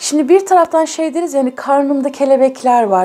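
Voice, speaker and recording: Her pitch is high for a woman, and this speaker varies it in an ordinary way. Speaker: tarot reader. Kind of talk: tarot reading to viewers.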